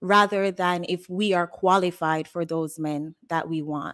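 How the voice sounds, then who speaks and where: The speaker has a Jamaican accent, recorded over a quiet background. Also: woman. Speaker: caller. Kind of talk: call-in discussion. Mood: earnest, opinionated.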